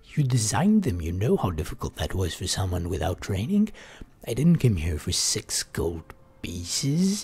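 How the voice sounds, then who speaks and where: A man speaks at a moderate pace with a dark, mellow, somewhat breathy tone. His fairly low voice makes very wide pitch swings. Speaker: gaming streamer. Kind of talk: reading aloud. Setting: live stream.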